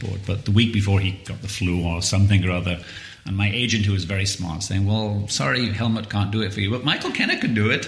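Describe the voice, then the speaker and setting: A man's fairly low voice at a very fast pace, with fairly even intonation, audible room echo and noticeable background noise. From northern England, Widnes. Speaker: photographer. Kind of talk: interview.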